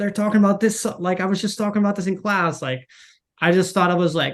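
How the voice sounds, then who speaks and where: A man with a Dutch accent at a very fast pace, fairly even intonation, and a quiet background. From Netherlands. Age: 40s. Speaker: marketing manager. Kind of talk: podcast interview. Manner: halting, many fillers and repeats; casual.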